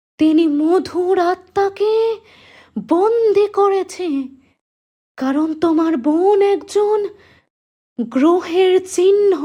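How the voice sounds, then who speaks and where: A woman uses a cartoonish character voice at an extremely high pitch. She goes at a very slow pace with very even loudness. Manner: grave, cryptic.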